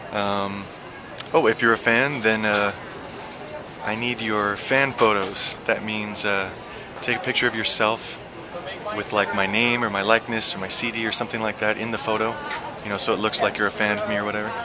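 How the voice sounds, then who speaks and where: A man talks at a fairly quick pace in a monotone, flat intonation, with long, frequent pauses. Noticeable background noise is present. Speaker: singer. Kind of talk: casual vlog talk to camera. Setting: outdoors. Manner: hesitant, filler-heavy.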